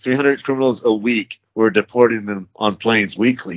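A man with an American accent talks at a moderate pace in a normal speaking voice. His pitch is medium, with ordinary variation. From UAE then Texas. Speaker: private security contractor, former translator. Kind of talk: casual interview chat. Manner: casual, profane.

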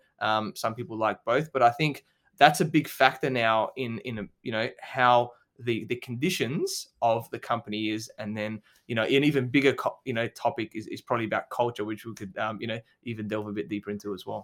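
With an Australian accent, a man of medium pitch talks at a fairly quick pace with ordinary pitch variation. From Adelaide, South Australia. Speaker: business coach and podcast host. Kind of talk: interview. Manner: hesitant, many fillers.

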